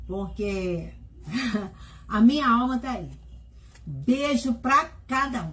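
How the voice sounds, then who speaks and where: A woman speaks at a very slow pace, leaving long, frequent pauses as her loudness swings widely. Noticeable background noise sits behind her. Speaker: host's wife. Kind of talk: casual message to viewers.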